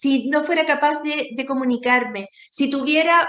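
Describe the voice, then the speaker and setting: Pitched high, a woman's voice keeps a fairly even intonation. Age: 60s. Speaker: radio host. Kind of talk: interview.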